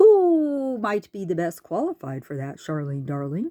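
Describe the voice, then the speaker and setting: A put-on character voice at a middle pitch and a moderate pace. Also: female-sounding voice. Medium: read story. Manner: hooting, riddling.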